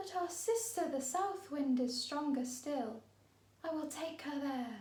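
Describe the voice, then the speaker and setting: A woman puts on a breathy character voice, high in pitch, speaking at a fairly slow pace with a slight echo. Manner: wailing.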